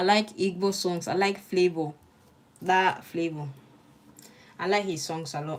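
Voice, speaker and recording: A woman with a slight Nigerian accent speaks at a medium pitch and a fairly slow pace. Her intonation stays fairly even, broken by long, frequent pauses. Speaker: law student streamer. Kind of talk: study stream with chat reading. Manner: casual, chatty.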